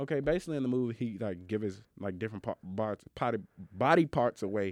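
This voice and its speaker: The man speaks very fast in an animated tone, with a dry, close sound, no echo and a quiet background. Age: young. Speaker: college student podcast co-host. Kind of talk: casual chat.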